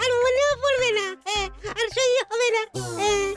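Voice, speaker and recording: A cartoonish character voice at an extremely high pitch plays over music in the background. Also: moderate pace. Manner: teasing, ends phrases with "হ্যাঁ".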